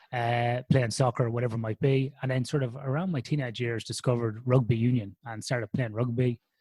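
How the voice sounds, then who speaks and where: With an Irish accent, a man talks in a dark, mellow tone that is somewhat breathy, keeping fairly even intonation in a dry, close sound with no echo. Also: very clean recording, silent background. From Ireland, Athlone in the Irish midlands. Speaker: sleep researcher. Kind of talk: podcast interview. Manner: conversational with frequent fillers.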